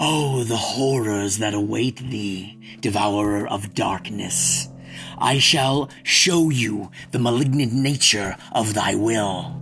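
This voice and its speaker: Clear music plays in the background as a man speaks at a very slow pace. He uses a put-on character voice that is raspy and medium in pitch. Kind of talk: archaic, theatrical. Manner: rage-filled, threatening.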